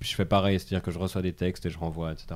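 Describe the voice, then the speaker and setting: On a very clean recording with a silent background, a man speaks in a very deep, low pitch with a dark, mellow tone. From Switzerland. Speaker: stand-up comedian. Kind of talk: casual chat.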